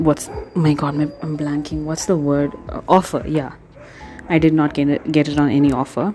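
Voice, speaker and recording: With music in the background, a woman speaks at a moderate pace in a very deep, low pitch and a monotone, flat intonation. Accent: non-native. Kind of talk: casual tutorial talk to camera. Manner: hesitant, many pauses.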